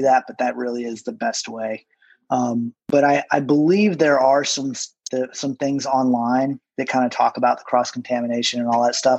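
A man's plain, everyday voice, medium in pitch, with fairly even intonation at a moderate pace. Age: 40s. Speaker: tattoo artist. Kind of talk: casual chat.

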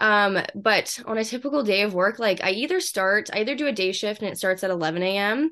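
In a Western Canadian accent, a woman talks at a moderate pace and medium pitch. Her intonation is lively, and the background is quiet. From Canada, Vancouver. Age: 20s. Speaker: fitness influencer. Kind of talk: casual interview.

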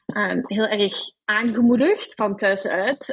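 Recorded with a dry, close sound and no echo, a woman talks at a very slow pace and a medium pitch, with ordinary pitch variation. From Belgium, Brussels. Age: 20s. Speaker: HR professional. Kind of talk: interview. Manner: hesitant, many fillers.

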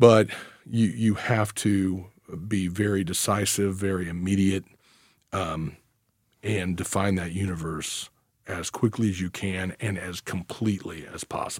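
A speaker with an American accent talks at a fairly slow pace with fairly even intonation. The recording is very clean, with a silent background. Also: man, very deep, low pitch for a man. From US Midwest, northeast Missouri. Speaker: trial attorney. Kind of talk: casual chat. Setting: studio.

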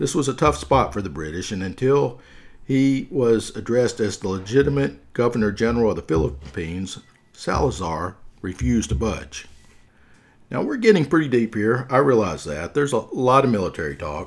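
In a Southern US accent, a man speaks at a moderate pace with vocal fry and very wide pitch swings. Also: medium pitch for a man. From US South. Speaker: podcast host. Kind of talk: scripted narration with humorous asides. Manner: humorous, casual.

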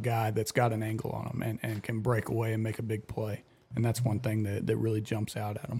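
In a somewhat breathy voice of medium pitch, a man speaks at a moderate pace. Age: 20s. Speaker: fill-in football analyst. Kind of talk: casual sports chat. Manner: repetitive, halting.

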